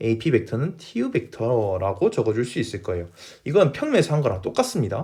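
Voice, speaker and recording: On a very clean recording with a silent background, a man speaks at a moderate pace in a somewhat breathy voice with very wide pitch swings. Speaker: math teacher. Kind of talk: lecture.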